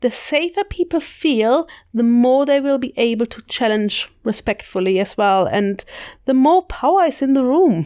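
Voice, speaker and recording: A woman in a German accent speaks at a moderate pace, with a high pitch and a dark, mellow tone. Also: lively intonation. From Germany. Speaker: podcast co-host, leadership coach. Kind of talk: casual podcast discussion.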